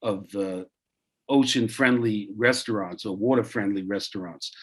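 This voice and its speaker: A man with a Brooklyn accent talks at a moderate pace. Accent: Brooklyn accent, brusque. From Brooklyn, New York. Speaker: zero waste reviewer giving feedback. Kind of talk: class feedback on a video call. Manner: halting, many fillers.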